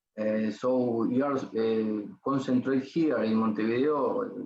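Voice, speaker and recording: Speaking with a Spanish accent, a man keeps his medium-pitched voice in fairly even intonation. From Uruguay. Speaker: ENT surgeon. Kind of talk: lecture. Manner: slow, halting.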